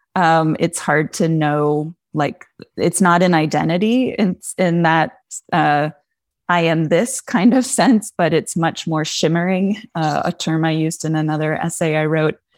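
In a normal speaking voice, a woman with an American accent speaks at a fairly slow pace, fairly low in pitch with ordinary pitch variation, on a very clean, dry, close recording with no echo and a silent background. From Pennsylvania, Poconos. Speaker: English professor. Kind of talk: interview.

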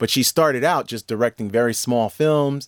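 A man talks at a moderate pace in a medium pitch with a plain, everyday voice. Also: dry, close sound with no echo. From US Northeast, New York. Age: 40s. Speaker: professor, podcast host. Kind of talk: interview. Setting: studio.

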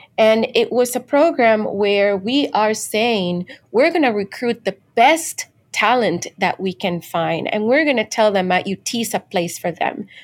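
A woman with a Spanish accent speaks at a fairly high pitch and a fairly slow pace, with lively intonation, on a very clean recording with a silent background. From Dominican Republic. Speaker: chemical engineering professor. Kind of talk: interview.

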